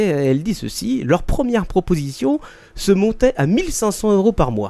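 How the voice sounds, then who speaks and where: The voice belongs to a man and has a dark, mellow tone. Its pitch leaps up and down over a very wide range. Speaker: podcast host. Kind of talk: casual podcast chat, mock news reading.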